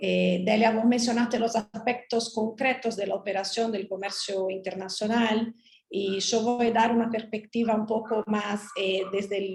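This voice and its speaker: In a Portuguese accent, a woman speaks slowly-ish at a fairly high pitch with monotone, flat intonation. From Brazil. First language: Portuguese (speaking Spanish). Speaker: trade lawyer. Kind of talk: panel talk.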